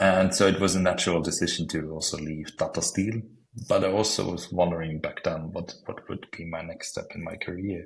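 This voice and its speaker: Speaking at a fairly quick pace with an Austrian accent, the voice stays monotone and flat in intonation while its loudness swings widely. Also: man, very deep, low pitch for a man. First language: German. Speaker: planning software consultant. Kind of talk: podcast interview. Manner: halting.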